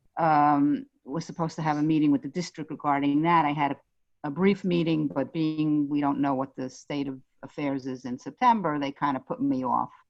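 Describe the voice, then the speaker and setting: Talking at a fairly quick pace with a Brooklyn accent, a woman with a very deep, low pitch shows ordinary pitch variation. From New York, Brooklyn. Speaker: parent of a special-needs child. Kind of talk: casual chat. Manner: halting.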